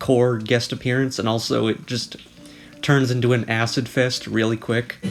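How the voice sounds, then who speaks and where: Music plays in the background as a man speaks at a moderate pace. His voice sits at medium pitch with monotone, flat intonation. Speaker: video essayist / commentary youtuber. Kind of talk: casual commentary narration.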